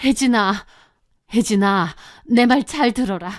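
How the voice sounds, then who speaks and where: Using a hoarse, put-on character voice at a fairly high pitch, a woman speaks at a fairly slow pace on a very clean recording with a silent background. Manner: frightened.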